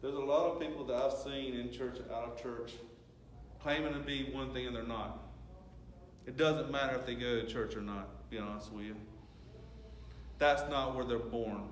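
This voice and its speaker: Over noticeable background noise and audible room echo, a man with a Southern US accent talks at a moderate pace, leaving long, frequent pauses. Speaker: lay preacher. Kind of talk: sermon. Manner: conversational.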